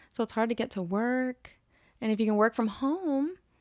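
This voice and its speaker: The recording is very clean, with a silent background. A woman speaks in it at a high pitch. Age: 20s. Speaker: musician and teacher. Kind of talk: casual chat.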